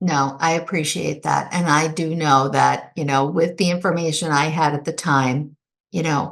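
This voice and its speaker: Against a quiet background, a woman speaks at a moderate pace with vocal fry, a very deep, low pitch and monotone, flat intonation. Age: 60s. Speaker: widow, author. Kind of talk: interview.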